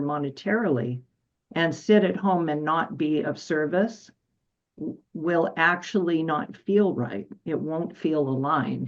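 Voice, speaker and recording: A woman talks at a fairly slow pace, her voice fairly low in pitch with ordinary pitch variation. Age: 60s. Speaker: medical intuitive and energy healer. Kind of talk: casual chat. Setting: radio show. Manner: halting.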